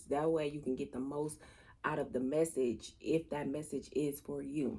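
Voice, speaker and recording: In a very deep, low pitch, a woman speaks with a dark, mellow tone, a moderate pace and fairly even intonation. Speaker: tarot reader. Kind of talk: tarot reading. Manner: casual.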